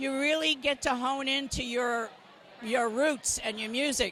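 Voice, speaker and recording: A woman speaks in a raised, projected voice. Her pitch is high and her pace fairly slow. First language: not English. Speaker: rock singer and songwriter. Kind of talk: interview. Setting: opening night event.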